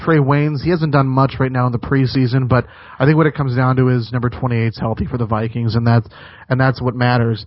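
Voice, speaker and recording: With an American accent, a man talks at a very fast pace. His pitch is medium and his intonation fairly even. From Minnesota, US. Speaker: sports radio host. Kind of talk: sports talk radio interview. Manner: halting, many repetitions and fillers.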